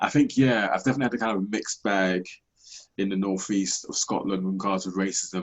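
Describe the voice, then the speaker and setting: A man with a London accent and fairly even intonation. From South East London, England. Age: 30s. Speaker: podcast host. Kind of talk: interview.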